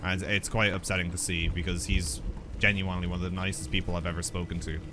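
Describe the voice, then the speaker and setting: Very fast and quiet, a man with a very deep, low pitch speaks with fairly even intonation amid audible room echo and noticeable background noise. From Ireland. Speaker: gaming streamer. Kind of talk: let's play commentary, chatting with viewers. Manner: halting.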